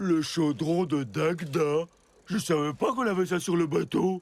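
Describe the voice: A man does a cartoonish character voice, pitched high. He keeps a moderate pace with ordinary pitch variation.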